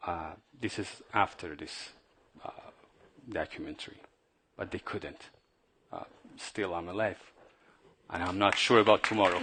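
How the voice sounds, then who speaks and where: A man with a Persian accent speaks at a fairly low pitch in a bright, sharp tone. His intonation is fairly even, his loudness swings widely, and he pauses long and often. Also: moderate pace. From Iran. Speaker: journalist and regime opponent. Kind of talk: panel Q&A after film screening. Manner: halting.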